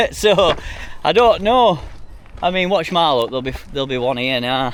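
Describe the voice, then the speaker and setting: A man's fairly high voice in a strong Yorkshire accent, moderate pace and very wide pitch swings, over noticeable background noise. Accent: Yorkshire, strongish. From Yorkshire, Sheffield. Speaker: hiking vlogger. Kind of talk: outdoor vlog, walking and talking. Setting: outdoors on a hike. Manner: casual, rambling.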